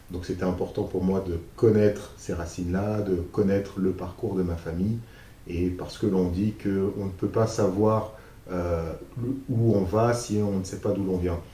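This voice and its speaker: A man speaks in a very deep, low pitch with monotone, flat intonation. His fairly slow delivery carries audible room echo. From France, Paris region. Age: 30s. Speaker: business manager and youth mentor. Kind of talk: interview. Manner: hesitant, many fillers.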